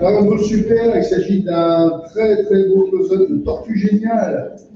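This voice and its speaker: Over noticeable background noise and audible room echo, a man talks at a very slow pace with very even loudness. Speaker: auction lot presenter; presenter. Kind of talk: descriptive presentation of auction lots. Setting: auction room with live and online bidders. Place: hall.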